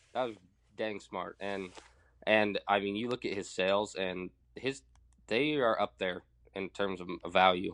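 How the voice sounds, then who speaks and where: A man with an American accent and a plain, everyday voice, fairly low in pitch, at a moderate pace over a quiet background. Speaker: young farmer and livestock producer. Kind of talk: casual chat. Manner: laid-back, friendly.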